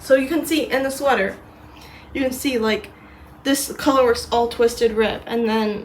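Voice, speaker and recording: With noticeable background noise, a woman with an American accent speaks at a moderate pace and fairly even intonation. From US and Britain. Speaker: knitting vlogger. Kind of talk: casual vlog. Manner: halting, many fillers.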